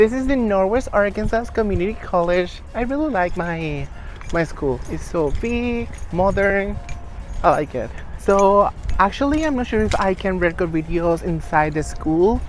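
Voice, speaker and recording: In a Venezuelan accent, a woman speaks at medium pitch and a moderate pace with lively intonation against noticeable background noise. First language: Spanish. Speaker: lifestyle vlogger. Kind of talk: casual vlog.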